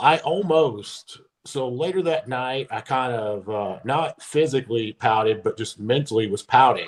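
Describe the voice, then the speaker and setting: With a Kentucky accent, a man talks at a medium pitch with lively intonation. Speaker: former pro bodybuilder. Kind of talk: podcast interview.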